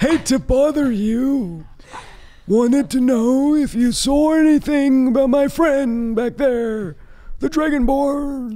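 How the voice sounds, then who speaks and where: Taking on a put-on character voice, a man talks fairly slowly at an extremely high pitch. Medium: actual play. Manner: polite, ingratiating.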